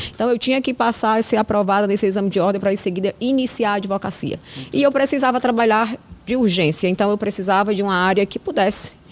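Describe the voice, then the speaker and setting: A woman's very fast speech at a very even loudness, over noticeable background noise. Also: medium pitch for a woman, ordinary pitch variation. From Ceará, Vale do Jaguaribe (Russas), Brazil. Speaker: criminal lawyer. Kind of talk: interview. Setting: podcast studio.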